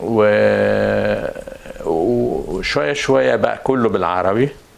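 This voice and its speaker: A man talks over noticeable background noise. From Egypt, Cairo. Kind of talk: interview testimony. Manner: halting, many restarts.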